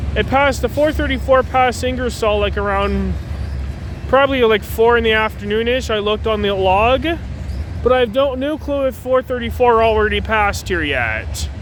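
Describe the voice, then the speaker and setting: Noticeable background noise accompanies a voice going at a moderate pace. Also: man. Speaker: railfan vlogger. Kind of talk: casual live commentary. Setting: outdoors trackside. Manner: halting, self-correcting.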